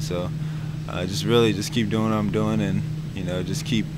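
Loud background noise sits behind a man talking at a moderate pace, the sound dry with no echo. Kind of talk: interview answer. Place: hall. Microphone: handheld.

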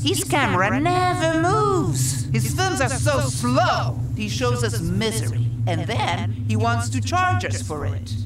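Over music in the background, a woman with a very deep, low pitch talks with hardly any pauses. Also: ordinary pitch variation, fairly slow pace. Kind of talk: storytelling narration about her father.

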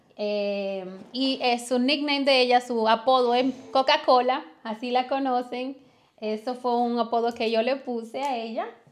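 A woman talks fairly slowly, her high voice holding a fairly even intonation. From Dominican Republic. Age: 20s. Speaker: family vlogger. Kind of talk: casual chat. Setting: livestream at home.

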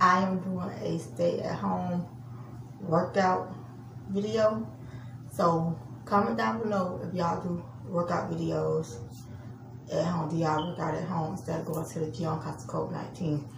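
A woman with a fairly low pitch and vocal fry speaks at a fairly slow pace with fairly even intonation and long, frequent pauses over clear background noise.

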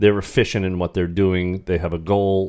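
Against a quiet background, a man talks at a moderate pace in a very deep, low pitch. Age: 50s. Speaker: teacher and podcast co-host. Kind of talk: casual chat. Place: home room. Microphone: studio mic.

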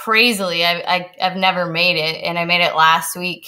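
Over a quiet background, a woman speaks at a fairly slow pace. Her voice is fairly low in pitch with a bright, sharp tone. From Kitchener, Ontario; Ontario. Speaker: chef; guest. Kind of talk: casual chat and cooking demonstration. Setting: video call from her kitchen. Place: kitchen.

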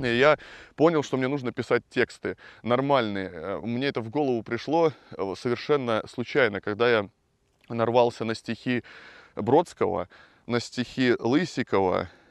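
Over a quiet background, a man talks fairly slowly at a medium pitch with ordinary pitch variation and long, frequent pauses, the sound dry and close with no echo. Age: 30s. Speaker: rock musician and video blogger. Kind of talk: casual monologue. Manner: animated.

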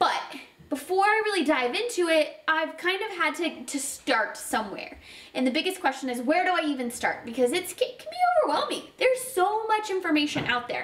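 In a room with audible echo, a woman talks at a fairly quick pace with an extremely high pitch. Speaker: channel host. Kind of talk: casual vlog chat. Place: home room.

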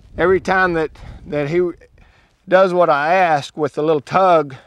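Speaking with a Texan accent at a fairly slow pace, a man comes through in a dry sound with no echo. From West Texas. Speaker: ranch horse trainer; cowboy. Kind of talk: instructional talk while working a horse. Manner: calm, casual.

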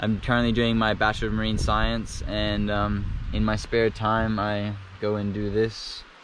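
A man is speaking. The sound is dry with no echo, and there is light background noise. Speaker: spearfishing vlogger. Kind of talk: casual vlog chat. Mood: happy, relaxed. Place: beach. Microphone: phone near.

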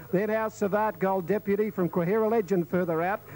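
A man in an Australian accent, with fairly even intonation. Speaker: race caller. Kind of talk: live commentary. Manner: fast talker.

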